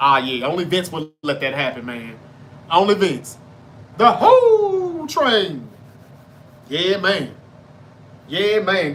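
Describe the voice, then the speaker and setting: A man speaks fairly slowly in a bright, sharp tone with ordinary pitch variation. Room echo is audible around him. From North Mississippi. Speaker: sports podcast host. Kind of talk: casual live-stream chat.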